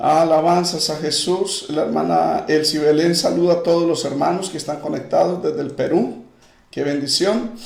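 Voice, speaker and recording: Fairly slow speech from a man with a fairly high pitch, audible room echo around it. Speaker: pastor. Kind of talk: live-streamed Bible study with greetings and prayer. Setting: online livestream.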